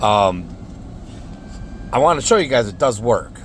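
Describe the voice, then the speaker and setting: At a moderate pace, a man with an American accent and a fairly low pitch speaks over noticeable background noise. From United States. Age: 50s. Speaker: car audio hobbyist reviewer. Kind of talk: casual product review. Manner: halting, many fillers.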